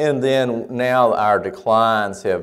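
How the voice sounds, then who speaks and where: Recorded very cleanly against a silent background, a man talks with a Southern US accent. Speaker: church researcher and lecturer. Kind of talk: lecture. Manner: halting with frequent fillers.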